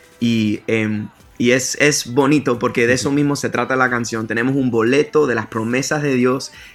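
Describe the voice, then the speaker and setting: Over noticeable background noise, a man speaks at a moderate pace with a medium pitch and fairly even intonation. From US, Miami, Florida. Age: 30s. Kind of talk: interview. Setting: remote call.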